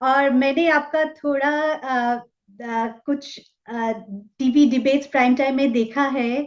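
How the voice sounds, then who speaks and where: A woman speaks with a Bengali accent. Her high-pitched voice keeps a fairly even intonation. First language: Bengali (speaking Hindi). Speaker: talk show host. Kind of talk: interview.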